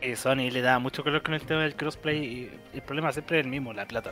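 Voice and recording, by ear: With faint music in the background, a man talks at a fast pace in a bright, sharp tone with fairly even intonation. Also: medium pitch for a man.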